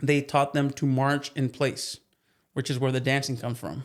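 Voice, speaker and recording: The recording is very clean, with a silent background. A man speaks with a Spanish accent at fairly high pitch. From US, Mexican-American family. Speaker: plumbing business owner and horse trainer. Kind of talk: casual chat.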